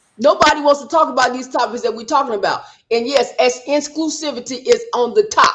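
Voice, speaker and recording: Loud speech at a fairly quick pace. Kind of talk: panel discussion. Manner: outspoken.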